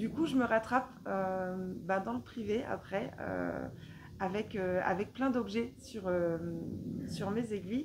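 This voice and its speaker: Very slowly, a woman speaks, her pitch swinging very widely. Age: 40s. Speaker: knitting vlogger. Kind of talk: casual vlog monologue. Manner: hesitant, many filler sounds.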